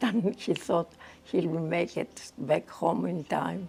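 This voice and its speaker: A woman speaks at a very slow pace in a fairly low pitch. Her pitch varies in an ordinary way. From Egypt, Port Said. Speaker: migrant recalling her life. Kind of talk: interview storytelling.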